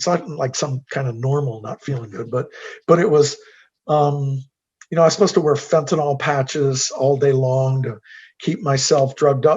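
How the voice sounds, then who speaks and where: Somewhat breathy male speech, fairly high in pitch. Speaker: guest speaker. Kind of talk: Q&A testimony. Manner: halting.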